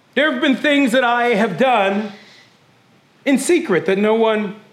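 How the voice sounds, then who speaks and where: With an extremely high pitch for a man, this animated male speaker uses lively intonation at a fairly slow pace, taking long, frequent pauses at very even loudness, with audible room echo. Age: 20s. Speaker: pastor. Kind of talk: sermon; church announcements. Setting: church service with congregation.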